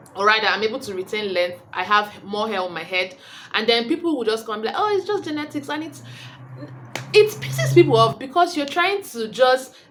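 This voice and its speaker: A fairly high-pitched woman at a fairly quick pace, with very wide pitch swings and noticeable background noise. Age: 20s. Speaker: beauty vlogger. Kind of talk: casual vlog talk. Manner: rambling, self-correcting.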